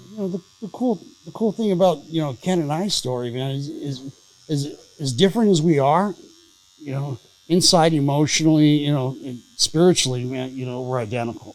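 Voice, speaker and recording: An American accent with lively intonation at a moderate pace. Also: man, fairly high pitch for a man. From Southern California. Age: 60s. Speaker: recovering addict, former prisoner. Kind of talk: casual interview, recovery story. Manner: halting, many fillers.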